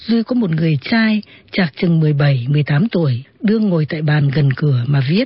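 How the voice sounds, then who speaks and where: Taking a fairly slow pace, a woman lets her pitch swing very widely. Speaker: radio presenter and literary narrator. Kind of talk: radio literary talk with read-aloud excerpts of novels. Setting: radio broadcast.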